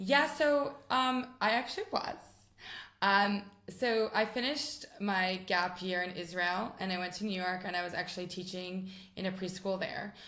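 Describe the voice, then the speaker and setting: In an American accent, a woman speaks at a moderate pace with a medium pitch. Room echo is audible. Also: ordinary pitch variation. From US West Coast, San Francisco. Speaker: rabbi's wife. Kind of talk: interview. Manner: hesitant, many ums.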